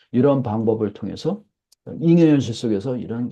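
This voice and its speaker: Lively in intonation, a man speaks at a medium pitch with a dark, mellow tone. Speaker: professor. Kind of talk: lecture. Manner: fast.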